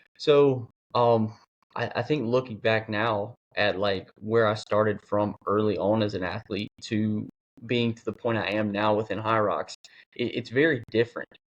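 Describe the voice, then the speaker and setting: This man has a medium pitch and fairly even intonation. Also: moderate pace. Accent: American. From US. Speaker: athlete and fitness coach. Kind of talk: podcast interview. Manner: casual, filler-heavy.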